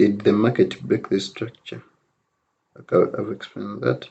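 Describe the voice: The voice moves slowly and fairly evenly, with little pitch movement, a dark, mellow tone, and vocal fry. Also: man, fairly low pitch for a man.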